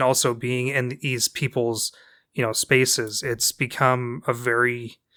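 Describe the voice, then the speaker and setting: A man speaks at a medium pitch with a bright, sharp tone. The sound is dry and close with no echo, and the recording is very clean over a silent background. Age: 20s. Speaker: podcast host. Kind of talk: casual chat. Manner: halting, repeats sounds.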